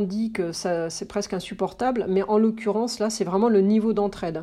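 A woman talks in a dark, mellow tone. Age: 50s. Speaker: press relations consultant. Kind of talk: interview.

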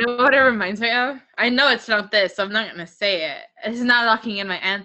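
With an ordinary speaking voice, a woman talks at a fairly quick pace, her fairly high pitch showing ordinary variation. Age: 18. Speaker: student podcast co-host. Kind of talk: casual chat. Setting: home recording.

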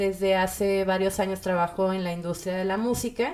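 A fairly slow, medium-pitched woman's voice, a normal speaking voice. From Mexico, Monterrey. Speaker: music industry manager and psychologist. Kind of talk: casual interview chat.

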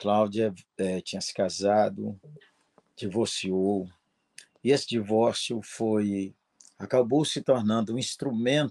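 At a very slow pace, the speech keeps a fairly even intonation and leaves long, frequent pauses. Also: man. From Minas Gerais, Brazil. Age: 60s. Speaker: pastor. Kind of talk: interview.

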